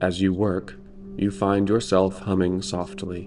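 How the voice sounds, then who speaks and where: A man speaks slowly-ish, at a fairly slow pace, with a very deep, low pitch and ordinary pitch variation. Music plays in the background. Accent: American. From United States. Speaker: storyteller. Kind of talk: sleep story. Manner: slow, gentle.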